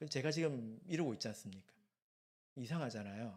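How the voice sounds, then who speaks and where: A man speaks with very wide pitch swings. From South Korea, Gyeongsang region (Busan). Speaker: preacher. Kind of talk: sermon. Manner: conversational, engages the audience.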